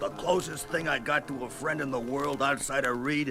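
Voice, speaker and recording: Over clear background music, a man uses a gruff, put-on character voice at a medium pitch and a moderate pace. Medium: audio drama. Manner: gruff, slangy, streetwise.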